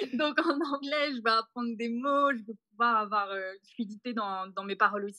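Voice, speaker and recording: With hardly any pauses, a woman speaks in a fairly high, bright, sharp voice with ordinary pitch variation, the sound dry and close with no echo. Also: moderate pace, big swings in loudness. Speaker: backpacker on working holiday, olive farm worker. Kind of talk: podcast interview testimony.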